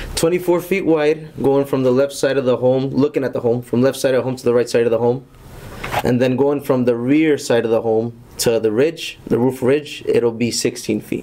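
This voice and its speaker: A man talks at a moderate pace. His pitch is medium, his intonation fairly even. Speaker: building contractor; contractor presenting to board. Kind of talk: public hearing presentation. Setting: town hall meeting room. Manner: formal. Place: meeting room. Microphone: podium.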